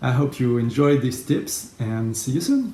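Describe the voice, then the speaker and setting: A man with a French accent, somewhat breathy, at a very slow pace with lively intonation. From France. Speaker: graphic facilitator. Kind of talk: tutorial.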